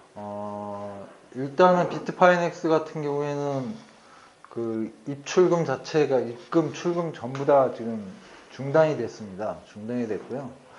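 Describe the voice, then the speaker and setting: Noticeable background noise surrounds a man speaking at a very slow pace. His fairly high voice has lively intonation. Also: big swings in loudness. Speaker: company CEO presenting at a meetup. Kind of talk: presentation. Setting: meeting room with audience. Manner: trying to speak louder.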